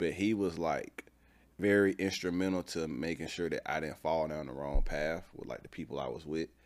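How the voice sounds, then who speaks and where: Talking at a fairly quick pace, a man has a very deep, low pitch, vocal fry and ordinary pitch variation. The recording is very clean, with a silent background. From Atlanta, Georgia. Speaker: entrepreneur. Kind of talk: casual interview.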